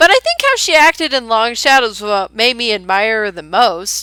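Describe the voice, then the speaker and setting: In a raised, projected voice with a bright, sharp tone, a woman speaks at a moderate pace with very wide pitch swings on a very clean recording with a silent background. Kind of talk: audio rant about a book character. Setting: recorded on a headset. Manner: passionate.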